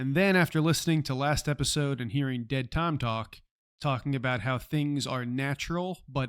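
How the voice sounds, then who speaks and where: Recorded very cleanly against a silent background, a man with an ordinary speaking voice speaks at a moderate pace, his fairly high pitch showing ordinary pitch variation. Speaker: podcast co-host. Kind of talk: casual discussion.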